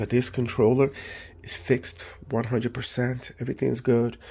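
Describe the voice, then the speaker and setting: A man's somewhat breathy voice with a dark, mellow tone, medium pitch and moderate pace. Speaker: electronics repair youtuber. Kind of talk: tutorial. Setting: home workshop at night. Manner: soft-spoken; casual.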